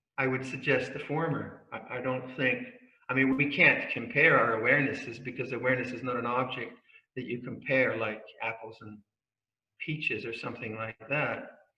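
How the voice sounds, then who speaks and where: A medium-pitched male voice with monotone, flat intonation and audible room echo. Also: moderate pace, big swings in loudness. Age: 70s. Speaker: Buddhist monk and meditation teacher. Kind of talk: dharma talk. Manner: halting.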